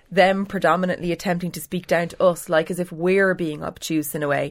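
A woman with an Irish accent speaks at a moderate pace in a fairly low voice with fairly even intonation. The recording is very clean, with a silent background. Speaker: political editor. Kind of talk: newspaper panel discussion.

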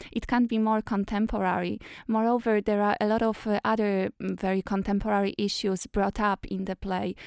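A woman with a Polish accent at a medium pitch, monotone with flat intonation at a moderate pace, in a very clean recording with a silent background and a dry, close sound with no echo. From Poland. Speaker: actress. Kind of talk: interview.

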